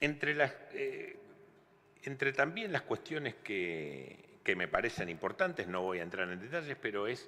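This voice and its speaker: At a fairly slow pace, a man speaks in a bright, sharp tone with very wide pitch swings. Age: 60s. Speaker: former electoral official, lawyer. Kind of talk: testimony to legislative committee. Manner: halting, with filler words.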